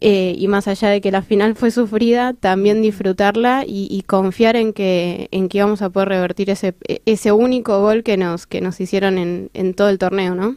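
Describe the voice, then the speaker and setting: At a moderate pace with hardly any pauses, a woman speaks in a dark, mellow tone at a medium pitch, her intonation flat and monotone. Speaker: blind football player and psychologist. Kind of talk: interview. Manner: halting.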